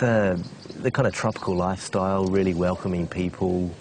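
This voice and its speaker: With a New Zealand accent, a man talks at a moderate pace in a very deep, low pitch and fairly even intonation, with audible room echo and noticeable background noise. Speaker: expat property investor. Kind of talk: interview. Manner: halting.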